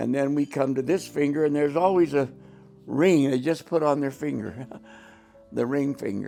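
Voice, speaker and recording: The man's pitch is fairly high. Music plays in the background. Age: 80s+. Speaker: grandfather giving wedding advice. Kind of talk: casual advice talk.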